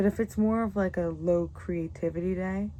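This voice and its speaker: Soft-spoken and relaxed in tone, a woman talks at a moderate pace. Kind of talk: ASMR makeup tutorial, casual talk to camera. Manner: soft-spoken, relaxed.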